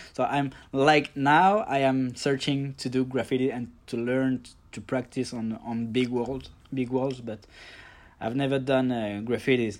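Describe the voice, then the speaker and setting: The speaker is a man. He talks with a French accent. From Paris suburbs, France. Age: 30s. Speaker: calligrapher and lettering artist. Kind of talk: casual interview chat. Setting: video call.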